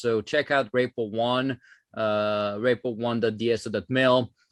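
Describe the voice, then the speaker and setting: Against a quiet background, a man with a French accent speaks at a medium pitch with fairly even intonation. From France. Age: 30s. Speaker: former government software chief, tech entrepreneur. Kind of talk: conference talk. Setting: virtual conference. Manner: many filler words and hesitations.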